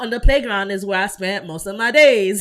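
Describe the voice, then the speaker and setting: A woman speaks with a Brooklyn accent. Her pitch is fairly high. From Brooklyn, New York. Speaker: content creator, design tutorial streamer. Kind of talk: live-stream tutorial with chat shout-outs. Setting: live stream. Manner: casual, chatty.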